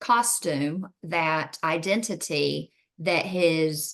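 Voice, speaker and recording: A woman speaks with a Southern US accent. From US South. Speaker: mother interviewed about raising a son. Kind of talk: interview.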